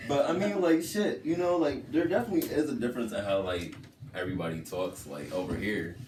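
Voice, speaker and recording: Speaking at a fairly quick pace with very wide pitch swings, a man is heard against noticeable background noise. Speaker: voice actor. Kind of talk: interview answer.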